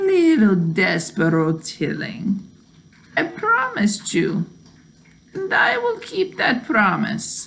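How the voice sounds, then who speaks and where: The pitch of this put-on character voice sits fairly high. Its delivery is very slow. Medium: read story. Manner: smooth, courteous.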